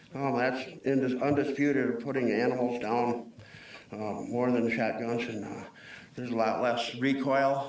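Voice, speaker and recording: Audible room echo surrounds a man with an Upper Midwest accent. He speaks at a medium pitch and a moderate pace with monotone, flat intonation. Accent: Upper Midwest (Minnesota). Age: 60s. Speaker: public commenter. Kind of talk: public comment at a county board meeting. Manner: halting, many fillers.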